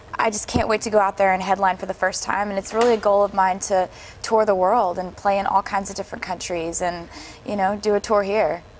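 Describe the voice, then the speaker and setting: A woman with an American accent talks at a fairly quick pace in a medium-pitched, monotone, flat voice over noticeable background noise. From Pennsylvania, USA. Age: young. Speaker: singer-songwriter. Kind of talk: interview answer.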